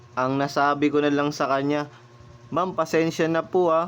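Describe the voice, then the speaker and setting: A fairly high-pitched male voice over noticeable background noise. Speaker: motorcycle taxi driver and vlogger. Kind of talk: casual storytelling vlog. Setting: outdoors in rain.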